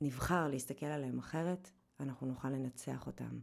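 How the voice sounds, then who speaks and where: A woman's very deep, low voice, dark and mellow in tone, with ordinary pitch variation at a fairly slow pace. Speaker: podcast host and weight-loss coach. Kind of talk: scripted narration; casual interview.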